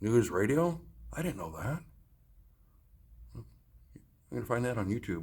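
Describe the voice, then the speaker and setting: A man speaks at a very slow pace with a fairly low pitch and vocal fry. His pitch swings very widely, and he takes long, frequent pauses. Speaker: travel vlogger. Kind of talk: casual vlog walkthrough. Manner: animated; casual, hesitant with fillers.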